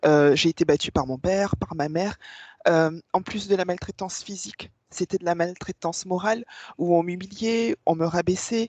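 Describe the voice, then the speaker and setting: A woman's fairly low pitch at a moderate pace, ordinary pitch variation, dry close sound with no echo. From Réunion. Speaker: hypnosis client. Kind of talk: testimony. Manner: halting.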